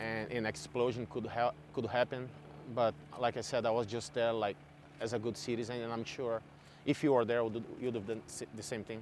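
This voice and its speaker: A man's medium-pitched voice with vocal fry and a non-native accent, ordinary pitch variation, and a moderate pace. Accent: foreign. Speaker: eyewitness of a mudslide. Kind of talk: on-camera interview. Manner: halting.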